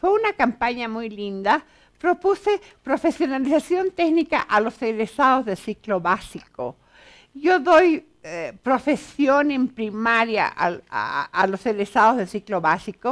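A woman's high-pitched voice at a fairly slow pace, with very wide pitch swings. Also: quiet background. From Bolivia, La Paz. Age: 60s. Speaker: author and educator; educator. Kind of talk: TV interview. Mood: warm, animated, smiling. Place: studio.

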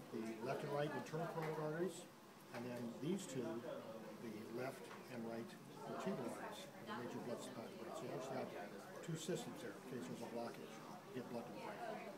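Crowd noise fills the background as a man talks at a very fast pace. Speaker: teacher. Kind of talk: lecture. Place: classroom. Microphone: phone near.

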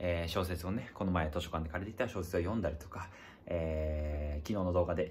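A man with a very deep, low, somewhat breathy voice talks at a fairly quick pace with fairly even intonation over light background noise. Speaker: video diary vlogger. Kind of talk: casual vlog chat. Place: home room. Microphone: phone near.

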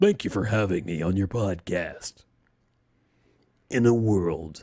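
A man puts on a character voice, fairly low-pitched and dramatic in tone, speaking at a fairly slow pace. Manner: dramatic movie-trailer style.

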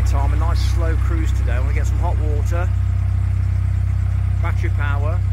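Loud background noise surrounds the man's voice. The sound is dry, without echo. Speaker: narrowboat vlogger. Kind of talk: casual vlog chat. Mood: relaxed, content. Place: boat.

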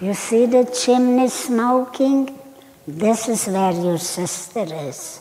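A woman's put-on character voice, fairly high in pitch, with lively intonation at a very slow pace. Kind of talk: personal testimony talk. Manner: mean, cruel, taunting. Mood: grave, reflective.

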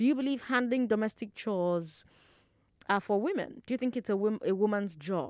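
A woman's fairly high voice with a Nigerian accent and lively intonation. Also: moderate pace. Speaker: radio talk show host. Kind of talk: radio call-in show. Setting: studio. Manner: animated.

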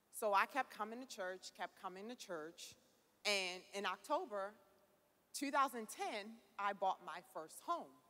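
At a fairly slow pace, a woman talks with lively intonation, a fairly bright tone and medium pitch.

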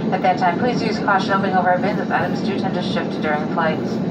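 Loud background noise surrounds a woman who talks at a very fast pace. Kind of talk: in-flight PA announcement. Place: plane.

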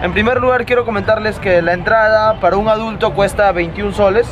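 A man with a high voice for a man speaks at a fairly quick pace. His pitch varies in an ordinary way, with noticeable background noise behind him. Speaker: vlogger. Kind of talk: casual vlog chat. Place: street. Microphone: phone near.

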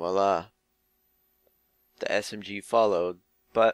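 In a dry recording with no echo and a quiet background, a man speaks very slowly with a fairly low pitch and fairly even intonation. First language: multilingual speaker. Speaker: software tutorial maker. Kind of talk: screen-recorded tutorial narration. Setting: headset microphone with buzzing. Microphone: headset.

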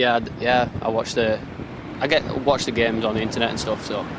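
A man speaks at a fairly quick pace and medium pitch, with little pitch movement. Background noise is clearly present.

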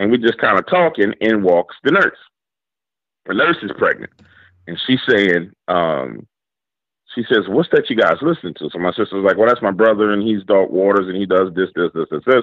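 With a New Orleans accent, a man speaks at a moderate pace in a fairly low pitch, his tone animated and his intonation lively. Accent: New Orleans Southern US. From New Orleans, Louisiana. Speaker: YouTube horror storyteller. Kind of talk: interview with storytelling.

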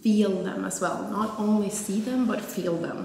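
Amid light background noise and audible room echo, a woman speaks at a fairly slow pace with ordinary pitch variation. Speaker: fitness vlogger. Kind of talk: casual vlog chat. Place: gym.

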